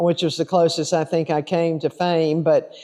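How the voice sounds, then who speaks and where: A woman's fairly low-pitched voice with a dark, mellow tone. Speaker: storyteller. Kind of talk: casual talk to camera. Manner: humorous.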